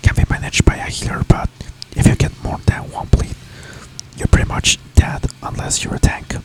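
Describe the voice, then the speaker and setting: Someone is whispering at a moderate pace. Background noise is noticeable. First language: not English. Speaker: gaming ASMR creator. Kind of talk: ASMR gameplay commentary. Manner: soft-spoken; hesitant with filler words.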